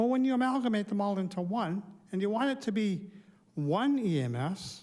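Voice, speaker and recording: A man's high-pitched voice with ordinary pitch variation, on a very clean recording with a silent background. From Ontario, Canada. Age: 60s. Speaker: public delegate at council meeting. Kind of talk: public deputation speech. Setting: council chamber lectern. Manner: unscripted, conversational.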